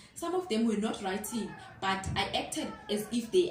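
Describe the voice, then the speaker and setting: A woman talks in an animated tone over noticeable background noise. Audible echo fills the room. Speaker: student teacher vlogger. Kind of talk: casual vlog storytelling. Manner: animated, code-switching.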